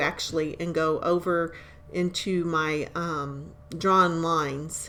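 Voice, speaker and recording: The speaker is a woman with a fairly low voice. Her pitch varies in an ordinary way. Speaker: crafter demonstrating tumbler making. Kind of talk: tutorial voiceover. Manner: casual, hesitant with fillers.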